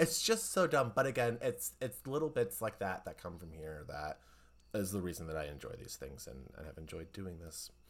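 A man speaks at a moderate pace with a very deep, low pitch, vocal fry and very wide pitch swings. His loudness swings greatly, and the recording is very clean with a silent background. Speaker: podcast host. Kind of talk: casual chat. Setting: recorded podcast conversation.

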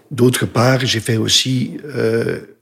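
A man with a Dutch accent, somewhat breathy, in monotone, flat intonation. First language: Dutch (speaking French). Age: 60s. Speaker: retired business consultant, cancer patient. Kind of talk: interview testimony. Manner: halting, many hesitations.

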